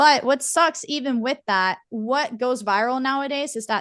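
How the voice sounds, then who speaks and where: Woman at a high pitch and fairly slow pace, animated tone and lively intonation, quiet background. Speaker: content creator and advocate. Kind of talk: casual chat.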